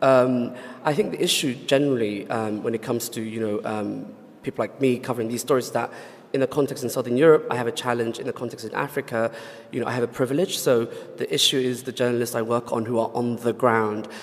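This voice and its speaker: A man talks at a very fast pace with fairly even intonation. Noticeable background noise runs beneath him. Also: medium pitch for a man. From Somalia. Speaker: freelance journalist. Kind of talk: panel discussion.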